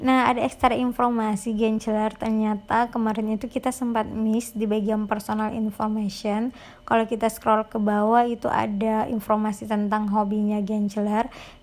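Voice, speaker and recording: A woman talks at a moderate pace with hardly any pauses and a fairly high pitch. Her intonation is monotone and flat, on a very clean recording with a silent background. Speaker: YouTuber explaining scholarship applications. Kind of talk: screen-recording tutorial. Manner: casual, chatty.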